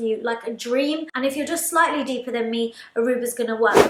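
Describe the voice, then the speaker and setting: A woman with a London accent talks in an upbeat tone at a very fast pace and high pitch. Background noise is noticeable. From London, UK. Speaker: makeup artist. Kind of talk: casual talk to camera. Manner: chatty, upbeat.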